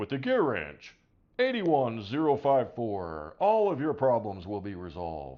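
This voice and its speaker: A put-on character voice at a moderate pace, with very wide pitch swings. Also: man, medium pitch for a man. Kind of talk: polished announcer delivery.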